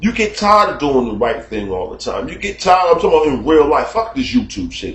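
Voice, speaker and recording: This man talks at a very fast pace. His tone is animated. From United States. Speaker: YouTube commentator. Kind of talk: casual monologue. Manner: loud and animated.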